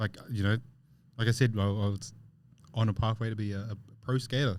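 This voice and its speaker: Fairly low in pitch and with a New Zealand accent, a man talks at a fairly quick pace in a monotone, flat way. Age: 30s. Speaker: podcast co-host. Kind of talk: casual chat.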